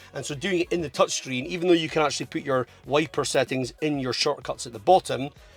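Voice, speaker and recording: Music plays in the background as a man with a fairly high pitch speaks at a very fast pace with hardly any pauses and ordinary pitch variation. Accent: strong Scottish. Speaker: car vlogger. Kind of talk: casual review monologue.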